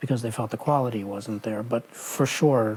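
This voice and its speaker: The man speaks at medium pitch with an American accent. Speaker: retail executive. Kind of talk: oral history interview.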